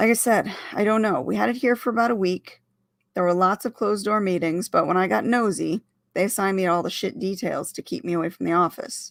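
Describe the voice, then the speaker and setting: Raspy and at a medium pitch, a woman puts on a character voice and speaks at a fairly quick pace. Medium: read story. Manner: gruff, blunt.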